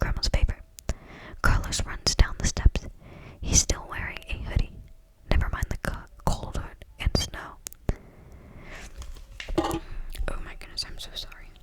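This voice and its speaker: Whispering at a moderate pace, the speaker leaves long, frequent pauses amid noticeable background noise. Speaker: ASMR creator. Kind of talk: ASMR book reading. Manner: whispered.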